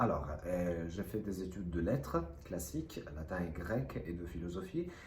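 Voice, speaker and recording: The speech has ordinary pitch variation, and audible room echo surrounds it. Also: man. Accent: slight non-native. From Italy, Rome. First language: Italian (speaking French). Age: 30s. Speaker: actor. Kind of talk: self-presentation to camera. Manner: hesitant.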